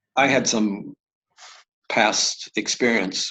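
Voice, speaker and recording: A man's fairly low voice carries noticeable vocal fry. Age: 70s. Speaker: spiritual teacher and author. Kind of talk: interview. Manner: halting, many fillers and repeated words.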